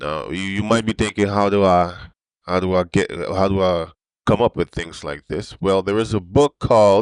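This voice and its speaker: Here is a man with a plain, everyday voice, fairly low in pitch and fairly even in intonation, at a moderate pace. The sound is dry and close with no echo, against a quiet background. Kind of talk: casual religious commentary show. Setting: old microphone, software-enhanced audio.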